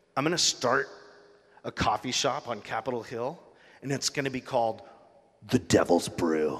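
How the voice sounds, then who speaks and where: In a put-on, growling character voice at a medium pitch, a man speaks at a moderate pace with long, frequent pauses. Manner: creepy, messing with the speaker.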